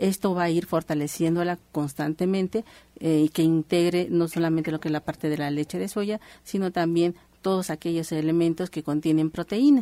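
A woman's dark, mellow, fairly low voice at a moderate pace, with fairly even intonation and a dry, close sound with no echo. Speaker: naturopathic doctor. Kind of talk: radio health advice.

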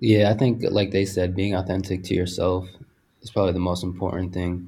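This man's voice is very deep and low, with a dark, mellow tone and a somewhat breathy quality. His intonation stays monotone and flat. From Puerto Rican heritage, US. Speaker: apparel designer. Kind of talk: casual chat.

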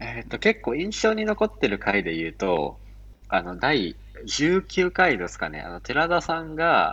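A man speaks against a quiet background. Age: 20s. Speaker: freelance software engineer. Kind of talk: casual chat.

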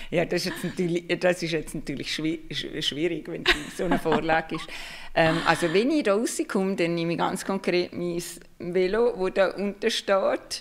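A woman speaks at a moderate pace with a fairly low pitch and ordinary pitch variation. Noticeable background noise can be heard. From Liechtenstein. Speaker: marketing expert and lecturer. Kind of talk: interview on livestream.

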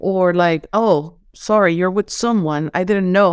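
This woman speaks at a moderate pace with a Venezuelan accent and ordinary pitch variation. The sound is dry and close with no echo, on a very clean recording with a silent background. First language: Spanish. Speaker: holistic coach. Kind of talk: casual interview. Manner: enthusiastic.

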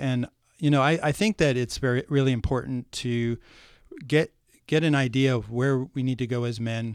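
In a plain, everyday voice with an American accent, the speaker goes at a fairly quick pace with ordinary pitch variation, captured dry and close with no echo on a very clean recording with a silent background. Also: man. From US Midwest, rural Ohio. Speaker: men's issues speaker. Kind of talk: casual chat.

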